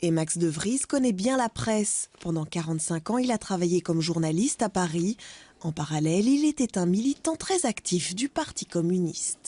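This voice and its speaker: Over a dry, close sound with no echo, a woman speaks at a moderate pace in a dark, mellow tone, her medium-pitched voice carrying lively intonation. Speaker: TV news reporter. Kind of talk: news report narration.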